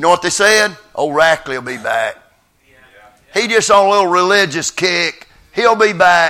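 A man with a high pitch talks at a moderate pace with lively intonation. He takes long, frequent pauses. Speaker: visiting revival preacher. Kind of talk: sermon. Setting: church.

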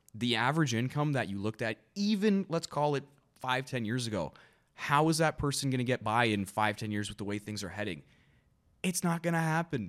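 In a very clean recording with a silent background, a man with a Canadian accent speaks with very wide pitch swings. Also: medium pitch for a man, fairly quick pace. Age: 20s. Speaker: realtor. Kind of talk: casual chat.

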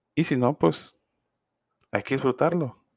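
A man with a Mexican accent speaks at a fairly slow pace in a dark, mellow tone. The sound is dry and close, with no echo. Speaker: podcaster. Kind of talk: casual monologue. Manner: informal, slangy.

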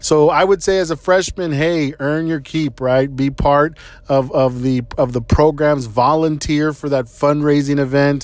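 With a normal speaking voice and an American accent, a man speaks at a fairly slow pace and a fairly high pitch, his intonation fairly even and hardly any pauses breaking it. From Texas, San Antonio. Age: 30s. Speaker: podcast host, engineer. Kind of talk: casual advice monologue. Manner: conversational with frequent fillers.

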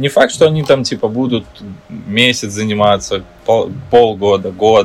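With noticeable background noise, a man talks at a moderate pace and medium pitch with ordinary pitch variation. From Ukraine, Kyiv. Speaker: dancer and choreographer. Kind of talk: interview.

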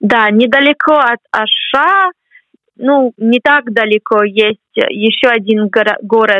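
Speaking at a very slow pace with very even loudness, a woman with an English accent uses a fairly high pitch and ordinary pitch variation. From US, Boston. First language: English (speaking Russian). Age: 20s. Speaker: graduate student. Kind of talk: interview. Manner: halting.

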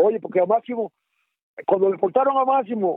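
A man with a Dominican accent talks at an extremely high pitch. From Dominican Republic. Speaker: former guerrilla fighter. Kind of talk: oral history interview. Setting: phone call. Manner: halting.

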